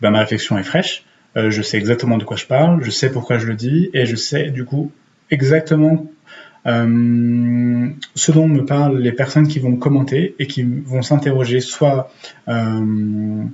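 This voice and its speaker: Ordinary pitch variation marks a man's medium-pitched voice as he talks at a fairly slow pace. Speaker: YouTuber and writer giving writing and Instagram tips. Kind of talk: casual tutorial. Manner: hesitant with many fillers.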